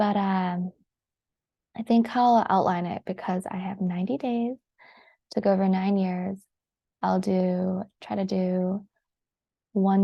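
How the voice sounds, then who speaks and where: Against a quiet background, a somewhat breathy woman speaks with long, frequent pauses. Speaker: vlogger, brain injury survivor. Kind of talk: personal vlog. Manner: hesitant, many fillers.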